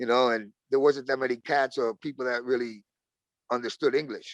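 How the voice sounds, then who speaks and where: A man with a Brooklyn accent talks at a fairly quick pace. His medium-pitched voice has a dry, close sound with no echo. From Brooklyn, New York. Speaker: rapper. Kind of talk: casual interview.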